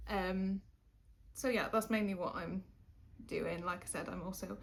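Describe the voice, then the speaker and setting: A woman speaks with a slight Welsh accent. Her voice is somewhat breathy. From Wales. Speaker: YouTuber. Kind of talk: casual chat. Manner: hesitant, many fillers.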